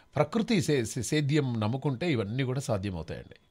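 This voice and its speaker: Somewhat breathy, a man's voice carries lively intonation. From Telangana (Nalgonda district). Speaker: radio host. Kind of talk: live call-in radio show. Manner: animated.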